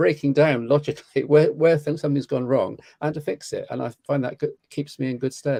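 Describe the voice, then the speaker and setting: A man with a British accent speaks at a fairly quick pace with hardly any pauses, his fairly high pitch carrying a dark, mellow tone and fairly even intonation in a dry, close sound with no echo. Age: 60s. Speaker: tech commentator. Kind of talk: casual chat.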